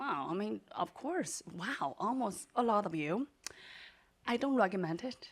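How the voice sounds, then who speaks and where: A woman speaks with a Chinese accent. Her pitch swings very widely. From southeastern China, small mountain town. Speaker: storyteller, entrepreneur. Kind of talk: live storytelling performance. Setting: stage with audience. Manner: animated.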